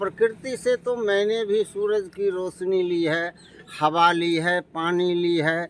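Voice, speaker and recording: A man speaks with lively intonation. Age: 60s. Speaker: retired teacher. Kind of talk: interview.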